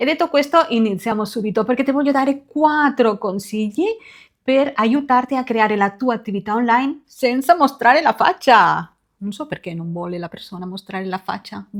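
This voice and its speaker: In a very clean recording with a silent background, a woman with a Spanish accent talks at a moderate pace, her fairly high pitch moving in lively intonation and her loudness swinging widely. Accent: Spanish accent in Italian. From Spain, Barcelona. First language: Spanish (speaking Italian). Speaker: beauty consultant and sales team leader. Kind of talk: tutorial.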